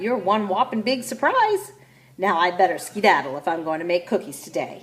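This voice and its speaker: A woman's shrill, put-on character voice at a medium pitch and moderate pace. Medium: read story. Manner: lively, chirpy.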